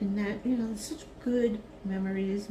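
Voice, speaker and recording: A relaxed tone at a fairly slow pace, with fairly even intonation and audible room echo. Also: woman. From Brooklyn, New York. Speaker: retired teacher, craft video creator. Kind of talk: casual craft vlog chat. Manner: slow, relaxed.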